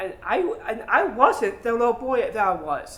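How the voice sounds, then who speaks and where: A man's extremely high, raised, projected voice, very slow, with very wide pitch swings. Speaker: actor. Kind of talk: theatrical monologue. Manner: halting, repeats words.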